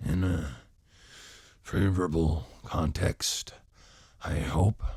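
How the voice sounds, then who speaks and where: A man uses a put-on character voice, raspy and very deep in pitch. He speaks at a very slow pace. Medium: read story. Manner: courteous, smooth.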